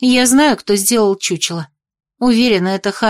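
The speaker uses plain reading aloud with ordinary pitch variation over a quiet background.

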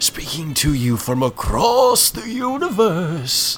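A man puts on a character voice, high-pitched and swinging very widely in pitch. He goes at a fairly slow pace, with clear background noise. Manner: otherworldly, spooky.

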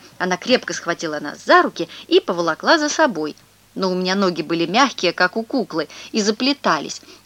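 The intonation here is lively. It is delivered in an unforced reading voice.

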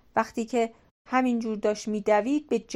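Against a quiet background, the voice uses a natural reading voice with fairly even intonation.

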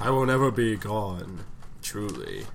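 A man puts on a character voice at a medium pitch, speaking at a fairly slow pace. Background noise is clearly audible. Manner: pretend, speaking as the bag.

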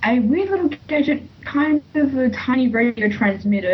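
Against noticeable background noise, a woman with a fairly high pitch talks at a fairly quick pace, her pitch swinging very widely. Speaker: comic book reviewer. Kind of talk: casual banter, reviewing a comic.

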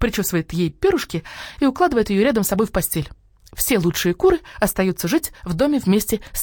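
An unforced reading voice carries this clip.

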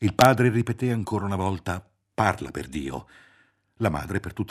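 With a quiet background, someone is reading aloud in a natural voice. Pitch varies in an ordinary way.

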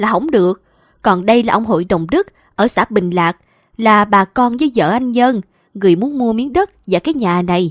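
A natural reading voice carries lively intonation.

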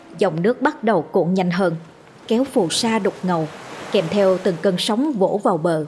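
The reading voice sounds natural, and its pitch varies in an ordinary way.

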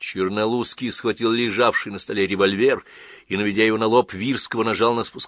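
In plain reading aloud, the intonation holds fairly even.

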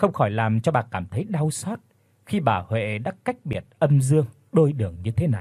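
The speaker reads in an unforced voice, with intonation that moves in a lively way.

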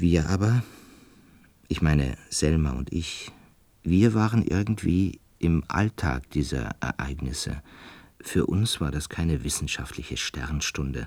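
This put-on character voice moves at a slow pace with a slightly mellow tone. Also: man, extremely low pitch for a man, ordinary pitch variation.

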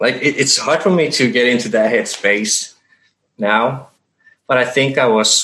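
A man with a Finnish accent speaks fairly slowly at a medium pitch with ordinary variation, his tone bright and sharp, his loudness very even, and his speech marked by long, frequent pauses. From Finland. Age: 30s. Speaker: church member sharing testimony. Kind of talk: testimony. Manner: halting.

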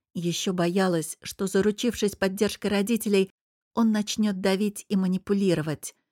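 This is a natural reading voice. The intonation is fairly even over a quiet background.

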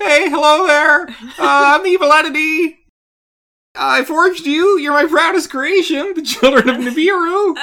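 A put-on character voice from a man, pitched extremely high and delivered at a moderate pace. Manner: villainous, theatrical.

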